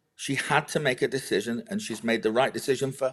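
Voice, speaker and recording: A man with a British accent speaks at a fairly high pitch, his voice swinging very widely up and down. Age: 60s. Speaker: agricultural policy adviser. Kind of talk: political discussion. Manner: animated; halting.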